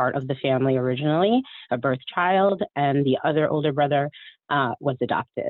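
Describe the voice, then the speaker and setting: Very deep, low pitch from a woman, with ordinary variation in pitch. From Connecticut. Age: 30s. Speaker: adoptee panelist. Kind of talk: panel interview.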